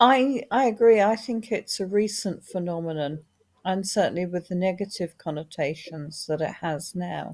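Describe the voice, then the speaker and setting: Here is a very clean recording with a silent background. A woman speaks at medium pitch with ordinary pitch variation. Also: moderate pace. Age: 60s. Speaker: author and former people manager. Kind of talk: panel discussion. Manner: halting, many false starts.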